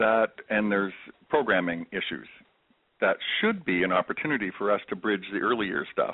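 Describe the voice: Speaking at a moderate pace, a man with a fairly low pitch uses lively intonation.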